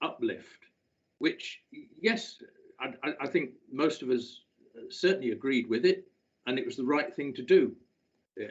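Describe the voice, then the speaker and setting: A man speaks fairly slowly, his pitch swinging very widely. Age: 70s. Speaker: local councillor. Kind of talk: council debate speech. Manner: halting, many filler sounds.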